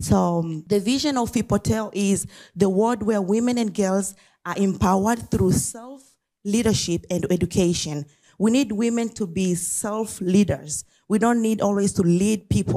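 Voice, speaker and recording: A woman at medium pitch has a dark, mellow tone, ordinary pitch variation and a non-native accent. She keeps a moderate pace on a very clean recording with a silent background. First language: not English. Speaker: nonprofit founder. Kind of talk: talk at an event. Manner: some hesitation and repetition.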